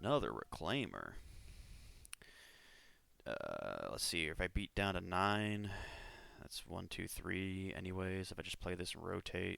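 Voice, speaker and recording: A mumbling man at a fairly slow pace, with long, frequent pauses. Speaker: card game player. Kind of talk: gameplay commentary.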